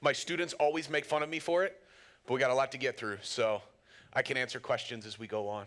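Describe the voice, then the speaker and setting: A man with a medium pitch talks at a very fast pace, and his pitch varies in an ordinary way. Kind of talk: lecture.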